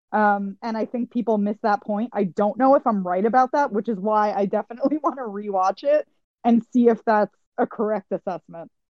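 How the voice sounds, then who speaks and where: A woman's normal speaking voice with an American accent, fairly high in pitch, with ordinary pitch variation and a fairly quick pace. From Queens, New York. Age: 20s. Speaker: podcast host. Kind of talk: casual chat.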